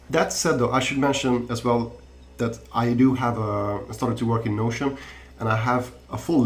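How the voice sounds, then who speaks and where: In a room with audible echo, a man with a non-native accent talks fairly quickly at a medium pitch, his voice somewhat breathy and his intonation fairly even. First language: not English. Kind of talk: podcast interview. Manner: halting, many repetitions and fillers.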